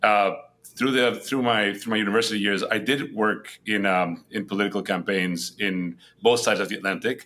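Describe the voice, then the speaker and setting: Here a man speaks in a Spanish accent at a fairly low pitch. His tone is bright and sharp, his intonation fairly even. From Spain, Madrid. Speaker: head of a global entrepreneurship nonprofit. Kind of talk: podcast interview. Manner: hesitant with many fillers and repetitions.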